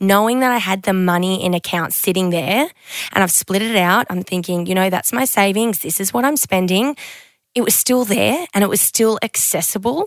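A woman with an Australian accent speaks at a moderate pace. Her pitch is medium, with ordinary pitch variation. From Queensland, Australia. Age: 20s. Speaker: podcast host. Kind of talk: casual chat.

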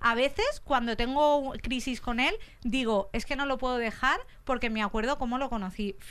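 Her pitch is high, with ordinary variation, as this woman talks at a moderate pace. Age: 30s. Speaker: comedian. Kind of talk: comic monologue.

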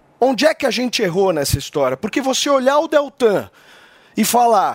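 A man talks in an animated tone. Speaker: political commentator. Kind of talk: political commentary.

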